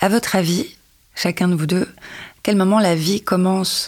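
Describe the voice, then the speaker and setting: A woman at a very slow pace. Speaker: podcast co-host, personal development coach. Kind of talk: casual chat.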